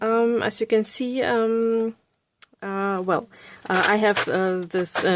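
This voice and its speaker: Very slowly, a woman speaks with fairly even intonation. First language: Russian or German. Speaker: art YouTuber. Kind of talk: tutorial. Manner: halting, many fillers.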